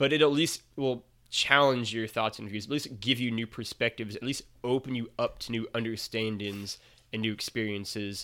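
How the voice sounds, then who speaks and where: A man speaks with a Midwestern accent at a moderate pace. His tone is bright and sharp, his pitch medium, and his intonation fairly even. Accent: American Midwestern. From Missouri, US. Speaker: writer and podcaster. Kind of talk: casual chat. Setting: remote call.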